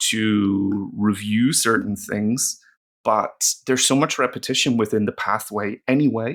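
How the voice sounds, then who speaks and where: Speaking slowly in a Northern Irish accent, a man with a fairly low pitch and fairly even intonation is heard in a very clean recording with a silent background. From Northern Ireland. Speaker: language teacher. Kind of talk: tutorial. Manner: casual, with many fillers.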